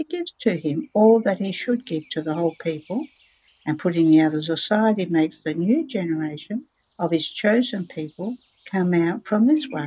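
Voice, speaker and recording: Soft-spoken, a woman talks at a moderate pace in a dark, mellow tone, her fairly low pitch showing ordinary variation. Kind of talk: religious reading, devotional text read aloud. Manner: very quiet, soft-spoken.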